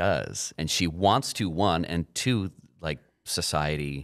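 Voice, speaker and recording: In a quiet background, a man speaks with a very deep, low pitch and vocal fry. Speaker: podcast host. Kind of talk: podcast discussion about a film. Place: studio. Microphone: studio mic.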